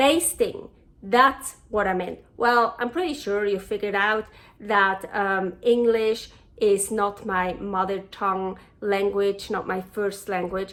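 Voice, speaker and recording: A woman with a Swiss German accent speaks at a very slow pace and a fairly high pitch over noticeable background noise. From Switzerland. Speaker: cooking show host. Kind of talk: cooking tutorial. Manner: casual, chatty with hesitations.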